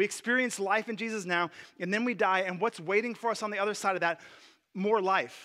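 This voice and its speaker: In a raised, projected voice with a bright, sharp tone, a man talks fairly quickly at a high pitch with fairly even intonation, on a very clean recording with a silent background. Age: 40s. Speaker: pastor. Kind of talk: sermon. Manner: casual, with many filler words.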